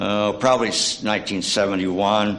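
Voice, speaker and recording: A man speaks in a fairly low, monotone voice with flat intonation, with audible room echo and noticeable background noise. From East Tennessee (Scott County, Cumberlands). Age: 70s. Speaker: church member giving a short sermon. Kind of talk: sermonette. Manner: halting, many fillers.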